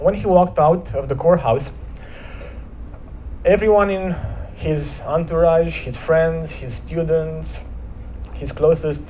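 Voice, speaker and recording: A man with a Romanian accent at a very slow pace, with long, frequent pauses and big swings in loudness, amid noticeable background noise and audible room echo. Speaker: motivational speaker. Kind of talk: inspirational talk at church service. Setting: church. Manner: hesitant, with repetitions.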